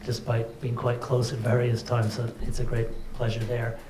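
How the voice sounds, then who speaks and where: A man with a Canadian accent speaks at medium pitch and a moderate pace. Noticeable background noise and audible room echo come through. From Canada. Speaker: cardiologist and hospital director. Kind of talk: welcome speech. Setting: conference with audience.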